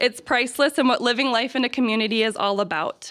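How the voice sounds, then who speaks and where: Against a quiet background, the talking goes at a fairly quick pace. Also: woman. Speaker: campus administrator hosting ceremony. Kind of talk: ceremony speech. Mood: warm, grateful. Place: hall. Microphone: podium.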